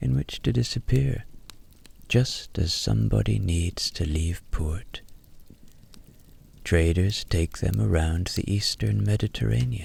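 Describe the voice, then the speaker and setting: Soft-spoken and somewhat breathy, a man with a very deep, low pitch talks in a calm tone at a fairly slow pace, with very wide pitch swings, very even loudness and long, frequent pauses. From Ireland. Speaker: storyteller and voiceover artist. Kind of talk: sleep story. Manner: soft, slow, calm.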